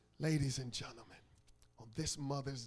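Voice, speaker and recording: Somewhat breathy, the voice proceeds at a moderate pace. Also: man. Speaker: pastor. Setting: church. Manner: call-and-response with congregation.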